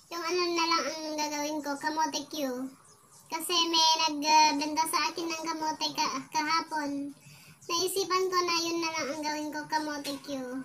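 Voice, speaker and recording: Her pitch is extremely high and her intonation monotone and flat. The woman keeps a moderate pace over light background noise. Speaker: home food seller. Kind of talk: casual vlog chat. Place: home room. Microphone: phone near.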